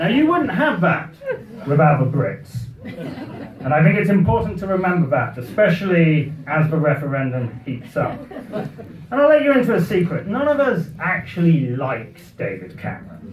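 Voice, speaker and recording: A man talks at a moderate pace in a high voice, with hardly any pauses and very wide pitch swings. Noticeable background noise and audible room echo surround him. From Britain. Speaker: comic speaker. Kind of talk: after-dinner humorous speech. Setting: party with audience.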